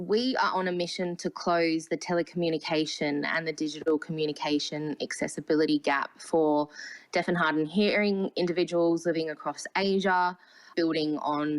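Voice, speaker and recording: In an Australian accent, a woman with a very deep, low pitch talks at a moderate pace with very even loudness. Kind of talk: panel discussion.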